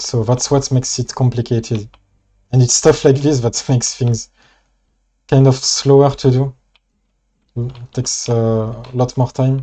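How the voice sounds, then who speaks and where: Over a quiet background, the speaker talks at a fairly slow pace with long, frequent pauses, in a French accent. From France. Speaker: mod creator streamer. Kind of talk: live stream talk and Q&A. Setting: live stream. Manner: halting.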